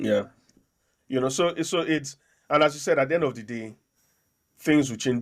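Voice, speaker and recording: A man with a Nigerian accent speaks with ordinary pitch variation on a very clean recording with a silent background. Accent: Nigerian accent, worn with pride. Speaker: podcast host and local councillor. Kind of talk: casual political discussion. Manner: hesitant, many repeated words.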